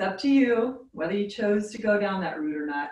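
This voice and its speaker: A woman with an unremarkable speaking voice talks at a medium pitch with lively intonation. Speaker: yoga instructor. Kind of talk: guided yoga class, calm cueing with warm, playful asides. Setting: online video class. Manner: soothing, slow, instructional, gently upbeat.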